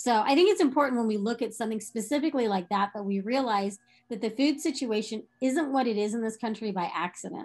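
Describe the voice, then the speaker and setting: Over a quiet background, a woman with an American accent rushes along at a very fast pace with hardly any pauses, her pitch fairly high and her pitch variation ordinary. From Texas. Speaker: nonprofit founder and vegan activist. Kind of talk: interview.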